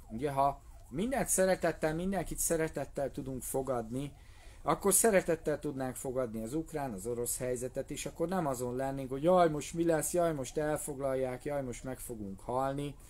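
A man speaks at a fairly high pitch and a moderate pace. His pitch varies in an ordinary way. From Hungary. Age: 40s. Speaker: martial arts instructor. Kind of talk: live video monologue. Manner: casual. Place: tent. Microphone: phone near.

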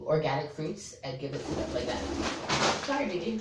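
Noticeable background noise surrounds a woman whose voice is very deep and low in pitch. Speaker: parrot owner vlogger. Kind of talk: tutorial. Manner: casual.

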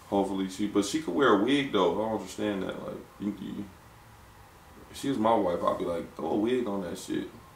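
A man with an American accent speaks at a fairly quick pace in a fairly low pitch. Light background noise and audible room echo surround his voice. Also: ordinary pitch variation. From Ohio, Lorain near Cleveland; Ohio. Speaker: podcast host. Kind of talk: casual chat. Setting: studio with producer in the back. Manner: animated. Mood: laid-back, joking, opinionated. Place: studio.

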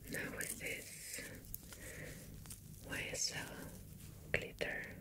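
A soft-spoken whisper moves at a very slow pace over noticeable background noise. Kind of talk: tutorial narration. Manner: soft ASMR whisper.

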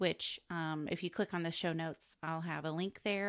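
With an unremarkable speaking voice, a woman talks at a moderate pace and a fairly low pitch, the sound dry and close with no echo on a very clean recording against a silent background. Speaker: podcast co-host. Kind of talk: casual chat.

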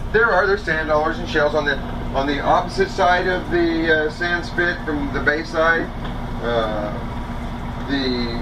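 Noticeable background noise sits behind a man who speaks at a fairly slow pace with ordinary pitch variation. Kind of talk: casual local explanation to passengers. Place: boat. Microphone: camera far.

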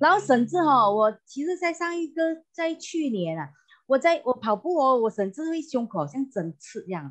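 The voice moves at a moderate pace with very wide pitch swings over a quiet background. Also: woman. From Malaysia, Johor Bahru; Malaysia. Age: 50s. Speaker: customer giving product testimonial. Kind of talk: testimony. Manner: halting, many fillers and repetitions. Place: home room. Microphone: earbuds.

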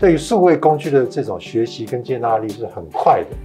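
The speaking pace is moderate. Faint music plays in the background. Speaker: talk show host. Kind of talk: interview conversation. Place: studio.

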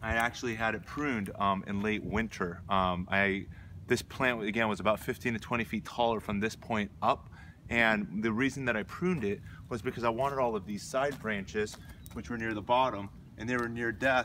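Man's voice, bright and sharp, moderate in pace with ordinary pitch variation, dry with no echo, over light background noise. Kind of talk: tutorial. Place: garden. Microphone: camera far.

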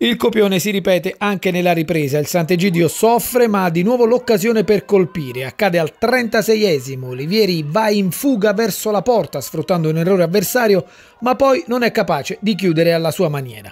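A high-pitched man's voice, fairly quick, with lively intonation. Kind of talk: sports match report narration. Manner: brisk, clipped, rattling off minutes and players; formal, journalistic, steady.

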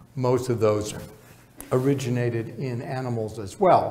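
Light background noise sits behind a man with an American accent. His medium-pitched voice is somewhat breathy. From Chicago. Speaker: professor of epidemiology. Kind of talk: lecture. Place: hall.

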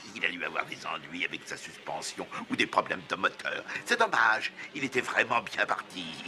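A cartoonish character voice with a bright, sharp tone and lively intonation moves at a moderate pace. Faint background noise is present. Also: man, low pitch for a man.

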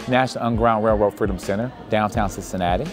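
A man's fairly low voice with ordinary pitch variation, faint music in the background. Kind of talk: interview answer. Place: hall. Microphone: lapel.

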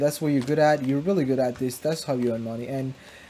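A man with a fairly high voice comes through noticeable background noise. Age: 20s. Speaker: YouTuber, video editor. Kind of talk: casual gameplay commentary. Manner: casual, rambling with fillers.

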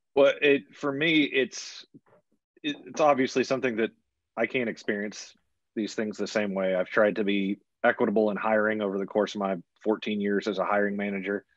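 The speech moves at a moderate pace with ordinary pitch variation, the sound dry with no echo and the background quiet. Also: man, fairly low pitch for a man. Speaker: college athletics communications administrator. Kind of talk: panel discussion. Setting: video call. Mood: reflective, earnest. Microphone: video call.

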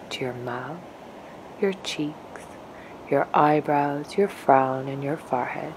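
Noticeable background noise sits behind a woman's voice. She has a very deep, low pitch and a gentle tone. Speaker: meditation guide. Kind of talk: guided meditation. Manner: gentle, slow.

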